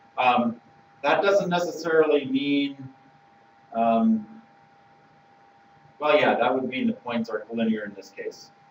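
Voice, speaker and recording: Against noticeable background noise, the speaker goes at a fairly slow pace with lively intonation, big swings in loudness and long, frequent pauses. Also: man, fairly high pitch for a man. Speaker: math teacher. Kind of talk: online class lesson.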